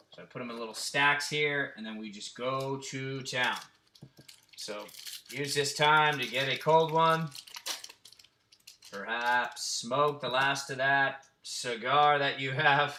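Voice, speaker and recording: Audible room echo surrounds a very slow delivery full of long, frequent pauses, with fairly even intonation and big swings in loudness. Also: man, fairly high pitch for a man. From New England. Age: 30s. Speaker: sports card case breaker. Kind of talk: live stream card break. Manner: casual.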